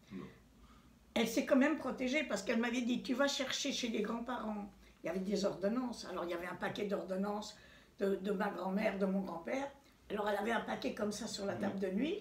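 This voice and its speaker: A woman's fairly high-pitched voice with ordinary pitch variation and audible room echo. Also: fairly quick pace. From France, Paris. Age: 90s. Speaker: Holocaust survivor; interviewee, witness. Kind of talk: testimony. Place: home room. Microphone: phone near.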